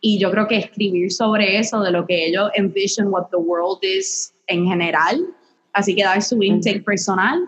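With a Puerto Rican accent, a woman speaks at a fairly slow pace and medium pitch, her loudness very even. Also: fairly even intonation. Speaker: podcast co-host, music industry worker. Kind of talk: casual chat. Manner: frequent English code-switching.

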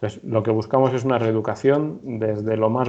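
The speaker has a central Spanish accent and ordinary pitch variation. The pace is fairly quick. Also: man. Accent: central Spain Castilian Spanish. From Spain, Madrid (Torrejón de Ardoz). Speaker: football injury rehab coach and PE teacher. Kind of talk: interview.

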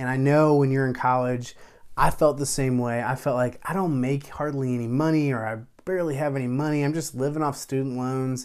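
Recorded very cleanly against a silent background, a man uses an ordinary speaking voice at a medium pitch. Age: 30s. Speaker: podcast host. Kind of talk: solo podcast monologue.

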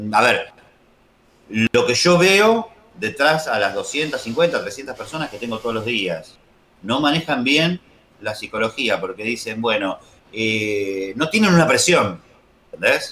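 Amid noticeable background noise, a man with a Rioplatense accent speaks very slowly in a fairly high voice, with very wide pitch swings and long, frequent pauses. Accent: Argentine Spanish (rioplatense). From Argentina. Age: 40s. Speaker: trader, software business owner. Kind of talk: casual interview.

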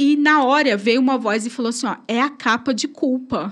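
Her voice shows ordinary pitch variation. Behind her, the background stays quiet. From Brazil, São Paulo state countryside. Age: 30s. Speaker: church evangelist. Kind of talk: testimony.

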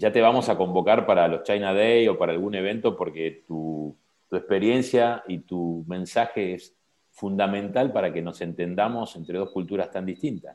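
Speaking at a moderate pace, a man has a fairly low pitch and ordinary pitch variation. His loudness swings widely. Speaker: podcast host. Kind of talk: interview. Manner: halting.

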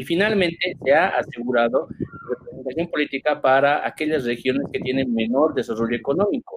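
Over noticeable background noise, a man with a fairly high pitch and ordinary pitch variation talks at a fairly quick pace. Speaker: debate moderator. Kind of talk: moderated political debate. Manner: halting.

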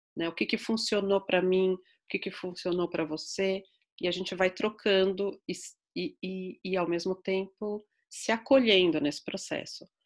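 A woman's voice, an unremarkable speaking voice at a medium pitch and moderate pace, with fairly even intonation and a very clean recording with a silent background. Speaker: psychologist. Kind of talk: interview.

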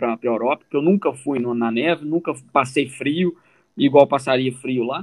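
Using a normal speaking voice, this man keeps to a moderate pace. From Brazil, Minas Gerais (Formiga). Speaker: podcast co-host, immigrant telling his story. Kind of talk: casual chat.

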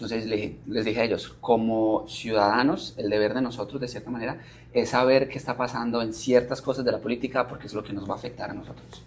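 A man with a Colombian accent talks at a very fast pace with medium pitch and fairly even intonation. His loudness swings widely over noticeable background noise. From Colombia, Manizales. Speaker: TV news presenter and producer. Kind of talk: interview.

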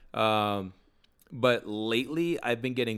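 Fairly low in pitch with ordinary pitch variation, a man talks in an unremarkable speaking voice. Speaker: podcast co-host. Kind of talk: casual chat.

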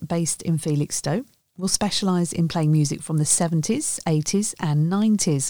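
The recording is very clean with a silent background. A woman speaks in a dark, mellow tone. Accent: British. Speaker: news presenter. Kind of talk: news reading.

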